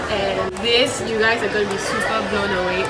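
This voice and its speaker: With loud music in the background, a woman speaks at a fairly quick pace. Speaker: beauty vlogger. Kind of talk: casual vlog product recommendation. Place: shop. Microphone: phone near.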